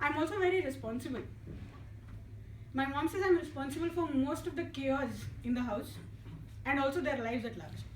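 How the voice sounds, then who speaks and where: A woman with an Indian accent speaks at a high pitch and fairly quick pace, with ordinary pitch variation and long, frequent pauses. Room echo is audible, along with noticeable background noise. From India, Hyderabad. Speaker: engineer giving a club speech. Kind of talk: prepared humorous public speech. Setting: club meeting with audience. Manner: soft-spoken.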